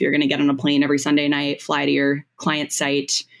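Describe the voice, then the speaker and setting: Her pitch sits very deep and low for a woman. She talks in an American accent. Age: 20s. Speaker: comedian. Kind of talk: casual chat.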